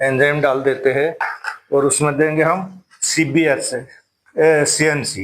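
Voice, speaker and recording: At a very slow pace, a man speaks with fairly high pitch and fairly even intonation. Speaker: DIY product maker. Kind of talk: tutorial.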